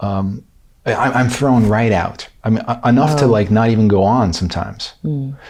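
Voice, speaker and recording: This man has a normal speaking voice of medium pitch. He talks at a moderate pace. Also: ordinary pitch variation. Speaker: podcast host. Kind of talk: interview question.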